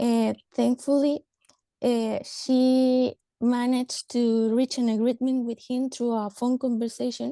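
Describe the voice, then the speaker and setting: This woman speaks in a high, dark and mellow voice with a flat, monotone delivery, recorded dry and close with no echo. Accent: Spanish. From Mexico. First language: Spanish. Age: 30s. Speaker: government social worker. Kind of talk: panel discussion. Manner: halting.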